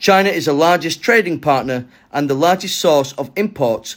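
A man speaks at a fairly high pitch in an ordinary speaking voice. The recording is very clean, with a silent background. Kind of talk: news reading. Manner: formal, steady newsreader delivery; measured, even-paced.

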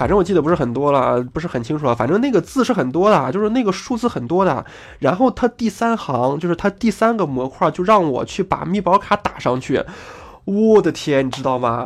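Animated in tone, a man with a high pitch swings very widely in pitch while talking at a fairly quick pace. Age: 30s. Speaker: gaming podcaster. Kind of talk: casual monologue.

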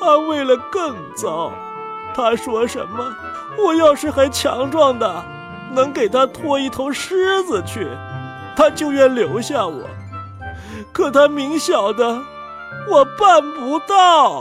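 Over faint music in the background, a woman uses a high-pitched, put-on character voice, talking slowly with big pitch swings.

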